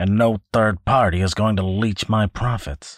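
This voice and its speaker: A man's put-on character voice, very cleanly recorded against a silent background, dry and close with no echo. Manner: gruff, blustering, threatening.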